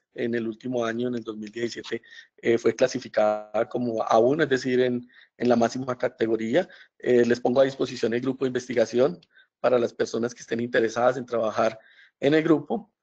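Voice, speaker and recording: Music plays in the background as a man talks at a fairly quick pace. His medium pitch holds fairly even intonation. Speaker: professor. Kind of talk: webinar lecture. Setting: online webinar. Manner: hesitant, many fillers.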